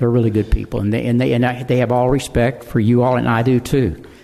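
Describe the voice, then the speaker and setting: The speaker has a Texan accent. The pace is fairly quick. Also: man. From Texas, Houston area. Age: 80s+. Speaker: local developer speaking at public comment. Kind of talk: public comment at a town hall meeting. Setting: city council town hall meeting. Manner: halting, repeats words.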